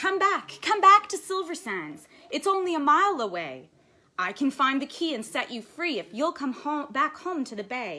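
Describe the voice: In a put-on character voice, a woman speaks high and bright with a sharp tone at a moderate pace. Her pitch makes big swings.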